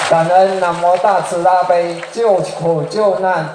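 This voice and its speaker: Noticeable background noise sits behind a high-pitched man speaking at a very slow pace. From Malaysia. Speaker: representative of a Buddhist study group asking questions. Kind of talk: reading prepared questions aloud.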